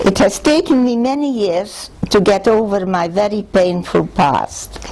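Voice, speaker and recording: Noticeable background noise sits behind a woman speaking at a fairly slow pace. Her medium-pitched voice has lively intonation. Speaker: Holocaust survivor. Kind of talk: reading aloud; testimony.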